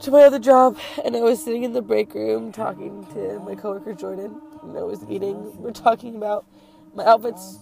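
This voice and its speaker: Woman's voice, dry with no echo, with clear music in the background. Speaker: vlogger. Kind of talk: casual vlog chat. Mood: sad, upset. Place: car. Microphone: phone near.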